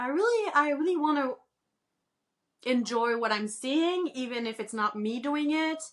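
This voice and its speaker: Here a woman talks in a Quebec accent. Her pace is moderate and her intonation lively. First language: French. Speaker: crochet pattern designer and author. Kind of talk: podcast interview.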